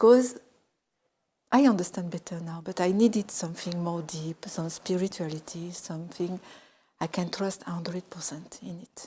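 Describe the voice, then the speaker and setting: Speaking at a moderate pace with long, frequent pauses, a woman with a dark, mellow, somewhat breathy tone keeps a medium pitch and ordinary pitch variation. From France, Grenoble area. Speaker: convert to Islam. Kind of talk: testimony.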